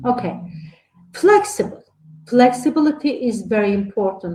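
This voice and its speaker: Lively intonation from a woman, somewhat breathy, with a dark, mellow tone. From Turkey. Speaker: lecturer on early childhood education. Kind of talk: online lecture. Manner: halting, many fillers.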